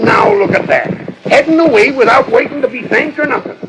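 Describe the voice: Against faint background noise, a man does a put-on character voice at an extremely high pitch, with vocal fry. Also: ordinary pitch variation, fairly quick pace, fairly bright tone.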